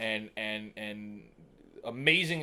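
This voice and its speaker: This man has a medium pitch and a New York accent. His tone is bright and sharp, with ordinary pitch variation. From New York City (Staten Island). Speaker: digital marketer and filmmaker. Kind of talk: podcast interview. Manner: halting, many fillers and repeats.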